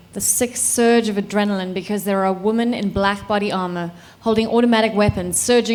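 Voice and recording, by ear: The intonation stays fairly even as someone is reading aloud in a natural voice.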